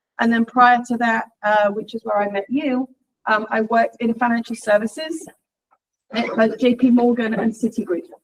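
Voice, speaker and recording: A woman talks at a moderate pace in an English accent. Her intonation stays fairly even. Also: fairly high pitch for a woman. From England. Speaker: leadership training director. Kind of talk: guest talk in a university lecture.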